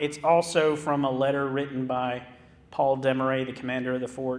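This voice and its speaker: A fairly high-pitched man at a moderate pace, monotone and flat in intonation, with audible room echo. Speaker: historic park manager. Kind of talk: lecture. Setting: theater stage with audience.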